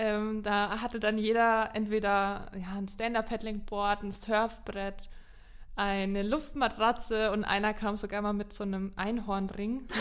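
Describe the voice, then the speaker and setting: Fairly slow and monotone, a woman speaks with flat intonation at a fairly high pitch. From Lower Franconia, Germany. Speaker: podcast co-presenter. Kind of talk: casual chat.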